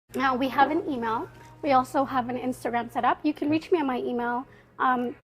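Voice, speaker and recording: A woman talks loudly at a high pitch. Her pace is fairly quick. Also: ordinary pitch variation. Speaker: university student and community organizer. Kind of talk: podcast interview. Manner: casual, animated.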